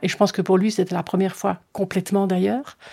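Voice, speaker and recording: A woman speaks at a fairly quick pace with a medium pitch. Her tone is dark and mellow, and the recording is very clean with a silent background. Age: 60s. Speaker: interviewee sharing personal experience. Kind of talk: testimony.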